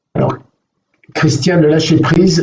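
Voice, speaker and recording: This man's voice is fairly high-pitched and somewhat breathy. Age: 60s. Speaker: mental coach. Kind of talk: live online coaching session. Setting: live video stream. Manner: halting, many fillers.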